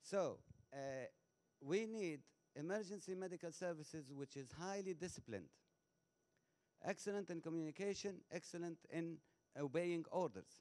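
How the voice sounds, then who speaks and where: Pausing long and often, a man speaks at a high pitch in a dark, mellow tone. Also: ordinary pitch variation, moderate pace. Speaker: audience member asking a question. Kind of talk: conference audience question. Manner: loud; halting, repetitive.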